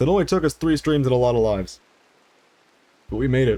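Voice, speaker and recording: Tired in tone, a man talks at a medium pitch with ordinary pitch variation. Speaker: video game streamer. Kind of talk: live gameplay stream commentary. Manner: low-energy, tired tone.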